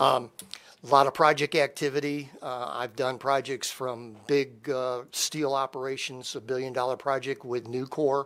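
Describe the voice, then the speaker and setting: With an American accent, a man speaks at a moderate pace and medium pitch in a monotone, flat intonation. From Michigan, military family abroad. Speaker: economic development professional. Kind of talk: self-introduction at council meeting. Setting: city council meeting.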